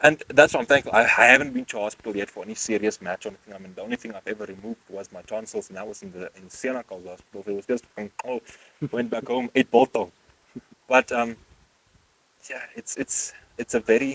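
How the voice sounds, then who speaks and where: A very fast, bright, sharp voice in a South African accent, with big swings in loudness, ordinary pitch variation and a dry, close sound with no echo. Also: man, medium pitch for a man. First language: Afrikaans. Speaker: podcast host. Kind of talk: casual chat.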